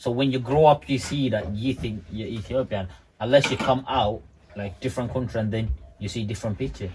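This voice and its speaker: Somewhat breathy, a man speaks at a fairly quick pace and medium pitch with ordinary pitch variation. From Ethiopia, Oromo, partly raised in Kenya. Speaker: podcast panelist. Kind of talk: casual chat.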